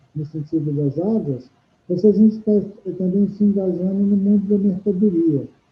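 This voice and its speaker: Over music in the background, a man talks in a high pitch with ordinary pitch variation. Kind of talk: interview answer.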